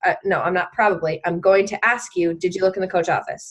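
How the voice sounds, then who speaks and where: Against a quiet background, a woman speaks in a plain, everyday voice at medium pitch with fairly even intonation. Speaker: fitness business coach leading team call. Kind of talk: team call presentation. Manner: casual, filler-heavy.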